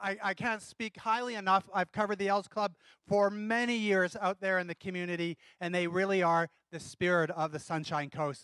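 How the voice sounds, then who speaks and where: This man talks at a fairly quick pace with a bright, sharp tone and fairly even intonation. The sound is dry with no echo over a quiet background. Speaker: telethon host. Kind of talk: live TV hosting. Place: stage. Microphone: handheld.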